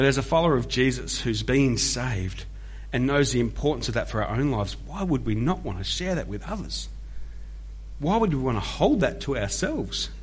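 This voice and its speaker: There is audible room echo around the speaker. A man talks at a fairly quick pace. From Australia (Melbourne). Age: 40s. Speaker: pastor. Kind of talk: sermon. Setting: church.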